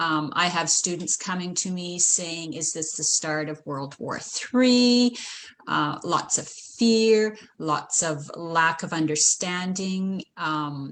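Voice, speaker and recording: A woman speaks very slowly in a fairly low voice with ordinary pitch variation. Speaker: grade two teacher. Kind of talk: online panel talk.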